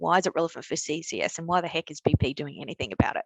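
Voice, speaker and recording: With an Australian accent, a woman talks very fast at a fairly low pitch with fairly even intonation, the sound dry and close with no echo. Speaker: energy company skills manager. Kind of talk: webinar talk. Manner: halting, with repetitions.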